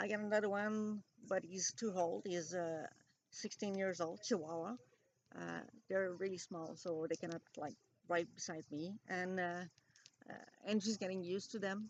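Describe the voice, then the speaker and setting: Speaking at a moderate pace, a woman with a French Canadian accent uses a medium pitch and fairly even intonation. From Quebec. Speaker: vlogger. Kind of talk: casual vlog monologue. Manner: halting, many fillers.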